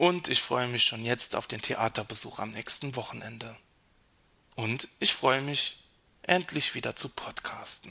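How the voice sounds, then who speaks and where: A man's medium-pitched voice with vocal fry, ordinary pitch variation and a fairly slow pace. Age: 30s. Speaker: podcast host. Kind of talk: reflective monologue.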